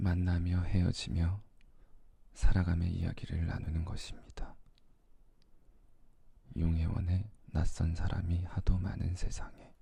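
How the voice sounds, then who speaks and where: Speaking very slowly with long, frequent pauses, a man has a very deep, low pitch, a dark, mellow tone, a somewhat breathy sound and monotone, flat intonation. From Korea. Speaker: ASMR creator. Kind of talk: poetry reading. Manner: soft-spoken.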